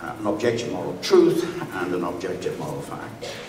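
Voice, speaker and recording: Moderately paced male speech amid noticeable background noise and audible room echo. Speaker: philosophy professor. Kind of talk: formal debate. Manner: halting, many fillers.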